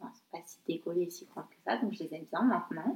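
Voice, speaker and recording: A woman's voice moves at a moderate tempo while her pitch leaps very widely. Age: 20s. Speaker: podcast guest. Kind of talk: casual chat.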